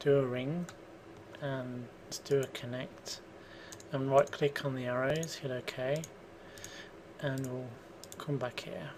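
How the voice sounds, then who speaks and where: A very slow pace with long, frequent pauses over noticeable background noise. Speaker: 3D modelling tutor. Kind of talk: software tutorial. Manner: casual, thinking aloud.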